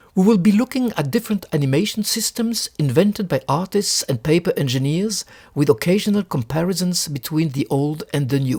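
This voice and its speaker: A man with a French accent speaks at a moderate pace, his voice high-pitched and his intonation lively. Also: dry, close sound with no echo. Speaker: book collector. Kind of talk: lecture.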